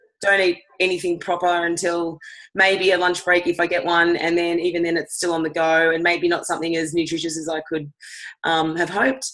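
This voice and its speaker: Someone speaks with an Australian accent at a moderate pace. The intonation stays fairly even. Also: woman. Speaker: fitness instructor. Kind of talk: product testimony.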